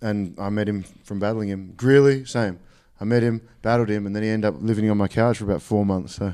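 A man's fairly low voice in an Australian accent, very fast and fairly even in intonation, on a very clean recording with a silent background. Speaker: rapper. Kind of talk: casual chat. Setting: studio.

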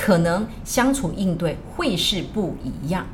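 A woman's voice swings very widely in pitch, with audible room echo and noticeable background noise. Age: 50s. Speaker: teacher and counselor. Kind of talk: casual chat.

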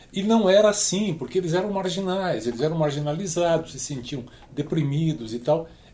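A man talks at a moderate pace in a fairly high pitch with lively intonation. Noticeable background noise sits behind him. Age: 70s. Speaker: work transition educator. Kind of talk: podcast panel discussion.

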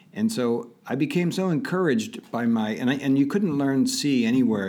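A man with an American accent speaks in a dark, mellow tone with very wide pitch swings. Room echo is audible. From Pittsburgh area, Pennsylvania. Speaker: tech entrepreneur. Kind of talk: interview.

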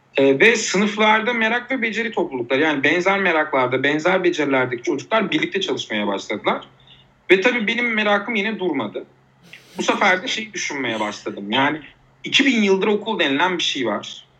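Speaking at a fairly quick pace, a man uses a high pitch with very wide pitch swings. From Turkey, Uşak. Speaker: art teacher and social entrepreneur. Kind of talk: podcast interview.

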